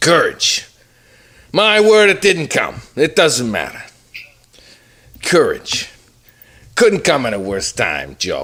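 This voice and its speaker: Putting on a gruff character voice, a man talks in a high pitch at a fairly slow pace, leaving long, frequent pauses. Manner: macho.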